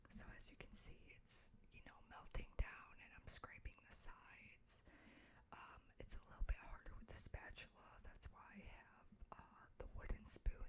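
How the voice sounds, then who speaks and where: The speaker is whispering. The pace is moderate. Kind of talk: ASMR craft tutorial. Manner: whispered.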